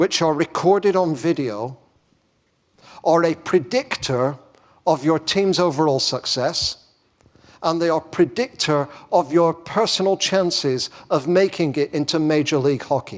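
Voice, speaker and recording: Here a man speaks with an English accent and a fairly high pitch. His pace is fairly slow and his intonation lively. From England. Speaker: education professor giving keynote. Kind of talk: conference keynote.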